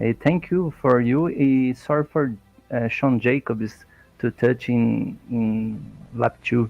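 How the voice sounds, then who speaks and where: Music plays behind a man speaking at a very slow pace. He has a Brazilian Portuguese accent and ordinary pitch variation. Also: medium pitch for a man. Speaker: sim racing driver. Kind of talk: post-race interview. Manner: halting.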